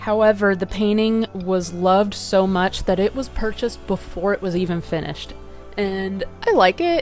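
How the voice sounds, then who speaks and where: A woman speaks at medium pitch and a moderate pace. Music plays in the background. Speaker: artist. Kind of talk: casual commentary video on art history.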